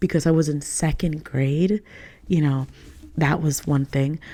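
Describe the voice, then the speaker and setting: A woman with a New York accent, dark and mellow in tone, at a moderate pace. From New York (Queens, Long Island). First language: Spanish. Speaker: podcast host. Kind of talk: casual monologue. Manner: casual, filler-heavy.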